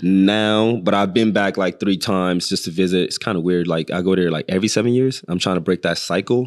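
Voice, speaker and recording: With a slight Nigerian accent, a man speaks in a very deep, low pitch and fairly even intonation, at a fairly quick pace with hardly any pauses, on a very clean recording with a silent background. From northern Nigeria. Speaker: chef. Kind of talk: casual interview.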